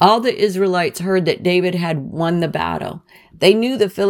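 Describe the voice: Ordinary rises and falls in pitch during plain reading aloud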